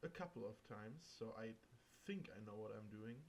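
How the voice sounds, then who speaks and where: A man with a German accent, fairly slow pace and lively intonation. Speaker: gaming video creator. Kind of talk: let's play commentary. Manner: casual.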